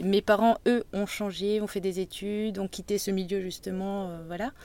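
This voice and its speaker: A woman speaks at a moderate pace with medium pitch. Her tone is dark and mellow. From Brittany, north Finistère. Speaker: salt marsh worker. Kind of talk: interview conversation. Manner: halting, many hesitations.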